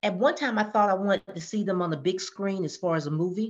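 Using an ordinary speaking voice, a woman with an American accent talks at a fairly quick pace, with a medium pitch and ordinary pitch variation. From US South, Georgia. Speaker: author. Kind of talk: podcast interview.

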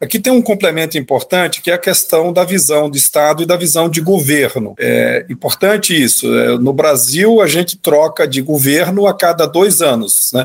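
A man's high-pitched voice at a moderate pace, with ordinary pitch variation and hardly any pauses. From Bahia, Brazil (interior, Campo Formoso). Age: 50s. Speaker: transport company executive. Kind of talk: interview.

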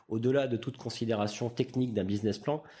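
This man has a medium pitch and a dark, mellow tone, with ordinary pitch variation. The recording is very clean, with a silent background. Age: 40s. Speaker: entrepreneur. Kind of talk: interview. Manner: hesitant, many fillers.

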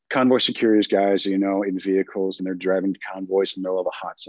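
This man's voice sits fairly low. He talks very quickly. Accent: American. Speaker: guest speaker on security and mindset. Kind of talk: casual podcast interview.

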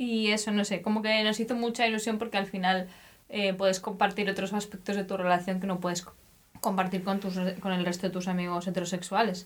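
A woman's monotone, flat voice at a fairly quick pace. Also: medium pitch for a woman. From Spain. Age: 20s. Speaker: podcast co-host. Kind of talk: casual chat.

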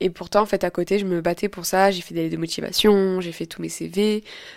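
Over a very clean recording with a silent background, a woman at medium pitch talks fairly quickly in a monotone, flat manner. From southern France, Avignon. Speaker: podcaster and journalism student. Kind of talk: casual monologue. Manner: halting.

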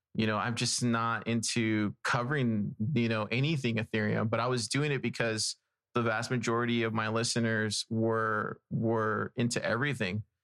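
This man has a normal speaking voice with a medium pitch and an American accent. He talks at a moderate pace. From South Texas. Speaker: podcaster and investigative reporter. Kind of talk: casual chat.

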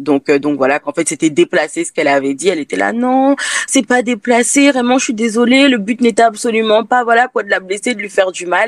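This woman speaks at a fairly quick pace with a fairly high pitch and very wide pitch swings. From France. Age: 20s. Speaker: candle brand founder. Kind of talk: interview. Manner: hesitant, many fillers.

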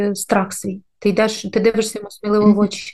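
A woman speaks with a dark, mellow tone. Her pitch sits fairly high. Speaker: podcast co-host, mother, former diplomat. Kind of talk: casual chat.

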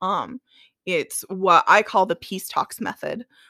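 On a very clean recording with a silent background and a dry, close sound with no echo, a woman speaks at a very slow pace in a bright, sharp tone, with vocal fry and ordinary pitch variation. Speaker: podcast host. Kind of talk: casual chat, warm and supportive. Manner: animated, effusive.

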